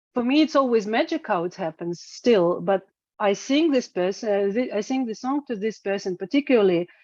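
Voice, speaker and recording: Recorded with a dry, close sound and no echo, a woman with a Russian accent speaks at a fairly quick pace in a fairly high pitch with lively intonation. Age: 40s. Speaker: singer-songwriter. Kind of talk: interview. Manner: halting, many fillers and repetitions.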